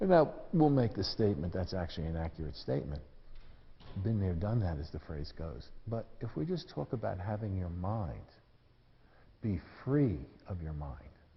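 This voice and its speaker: A man's very deep, low voice with an American accent, somewhat breathy, with very wide pitch swings, a moderate pace, long and frequent pauses, and audible room echo. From US Northeast, New York City. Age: 70s. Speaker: tai chi teacher. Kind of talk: lecture. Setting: stage with audience. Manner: casual.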